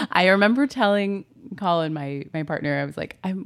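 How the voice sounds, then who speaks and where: With an American accent, a woman with a plain, everyday voice speaks fairly low in pitch and with lively intonation. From Southern California. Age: 30s. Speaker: writer. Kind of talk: casual chat. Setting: home office.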